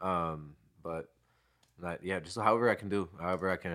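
With an American accent, a man speaks at a fairly quick pace in a bright, sharp tone with a very deep, low pitch. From Pomona area, California. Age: 20s. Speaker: music artist. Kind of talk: casual chat.

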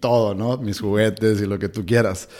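A fairly low-pitched man with monotone, flat intonation. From Hermosillo, Sonora, northern Mexico. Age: 30s. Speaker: breathing and cold exposure workshop instructor. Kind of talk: interview conversation. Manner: hesitant, many fillers.

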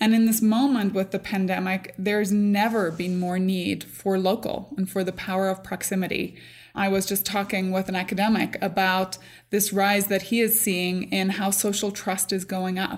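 In a very clean recording with a silent background, a woman speaks at medium pitch in a flat monotone at a moderate pace. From Northern Ireland. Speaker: tech company CEO. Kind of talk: interview.

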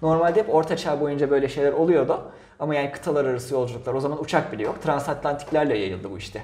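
Talking at a very fast pace, a man with a fairly high voice and ordinary pitch variation is heard with audible room echo. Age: 20s. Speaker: podcast co-host. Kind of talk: casual chat.

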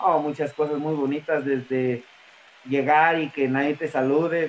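A man with a normal speaking voice talks at a fairly slow pace, his pitch fairly high and his intonation fairly even. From Mexico, Tlaxcala. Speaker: professional wrestler. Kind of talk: interview.

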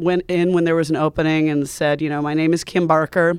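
A woman speaks in a Western US accent with a very deep, low pitch and monotone, flat intonation. The recording is very clean, with a silent background. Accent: General American, western US. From US Mountain West (Montana and Wyoming). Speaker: journalist, foreign correspondent. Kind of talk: interview, casual chat. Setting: studio.

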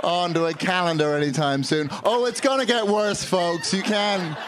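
A man with an American accent, fairly slow with lively intonation, against noticeable background noise. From Northern Ireland and London. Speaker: comedian. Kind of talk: stand-up comedy. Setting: stage with live audience.

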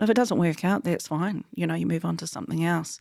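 A woman's very deep, low voice with a New Zealand accent, dry and close with no echo, on a very clean recording with a silent background. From New Zealand, rural Taranaki. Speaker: wool technology company founder and CEO. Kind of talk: interview.

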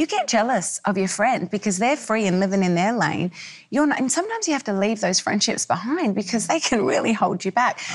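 Noticeable background noise sits behind a woman with an Australian accent. She speaks at a medium pitch with lively intonation. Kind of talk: panel conversation.

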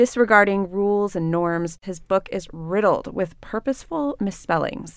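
A woman with a normal speaking voice talks at a medium pitch with lively intonation. The recording is very clean and the background silent. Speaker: radio host. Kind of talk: casual interview. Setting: studio.

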